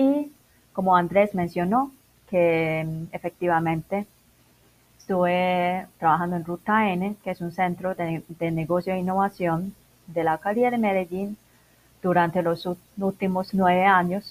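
Pausing long and often, a woman speaks at a fairly slow pace with medium pitch and fairly even intonation, the sound dry and close with no echo. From Macau. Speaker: internationalization consultant. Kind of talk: interview.

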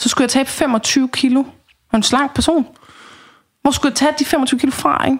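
A woman with a high pitch talks at a moderate pace, her loudness very even and her intonation fairly even. She leaves long, frequent pauses. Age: 30s. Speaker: dietary counselor. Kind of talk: casual chat. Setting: home kitchen.

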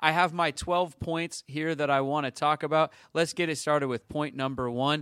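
In a dry, close recording with no echo, a man speaks at a moderate pace with a bright, sharp tone, a fairly high pitch and ordinary pitch variation. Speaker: sports podcast host. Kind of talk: casual chat. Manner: loud.

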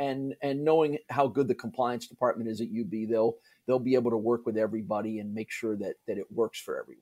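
A very fast American-accented man's voice of medium pitch, dark and mellow in tone, with ordinary pitch variation and a dry, close sound with no echo. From US Northeast (New Jersey, New York area). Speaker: college sports play-by-play broadcaster. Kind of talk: casual interview.

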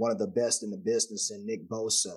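With an American accent, a man talks fairly quickly. The rise and fall of his pitch is ordinary. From Texas. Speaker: former NFL player, football analyst. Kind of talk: casual sports preview chat. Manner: animated.

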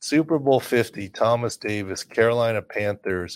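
Recorded very cleanly over a silent background, a man in an ordinary speaking voice talks at a medium pitch and a fairly slow pace, with ordinary pitch variation. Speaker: sports injury analyst and podcast host. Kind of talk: casual expert sports injury analysis chat.

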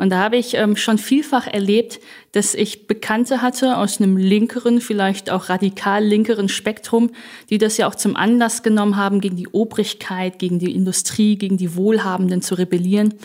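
An unremarkable speaking voice from a woman at a medium pitch, with fairly even intonation, in a very clean recording with a silent background. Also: moderate pace. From Germany. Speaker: politician and publicist. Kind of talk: panel discussion.

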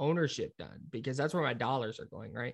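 Recorded very cleanly against a silent background, a man speaks with an American accent. His pitch is fairly high, and vocal fry runs through it. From US West Coast, Brentwood, California (East Bay). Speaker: sports radio producer and host. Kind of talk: casual chat. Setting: office, down the hall.

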